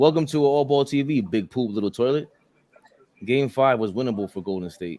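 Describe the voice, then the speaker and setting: With a New York accent, a man speaks at a fairly quick pace and medium pitch, using lively intonation. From New York City, Queens. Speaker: basketball podcast host. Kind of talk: casual chat. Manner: animated.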